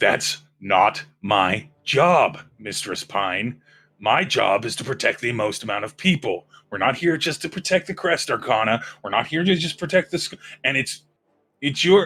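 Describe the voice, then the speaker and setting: A put-on character voice from a man, gruff and fairly high-pitched, at a moderate pace, on a very clean recording with a silent background. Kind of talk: firm. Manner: stern.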